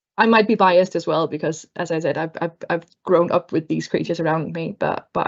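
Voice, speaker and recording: Speaking at a fairly quick pace in a Danish accent, a woman has a fairly low pitch with ordinary pitch variation. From Denmark. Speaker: book club panelist. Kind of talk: casual chat. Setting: video call.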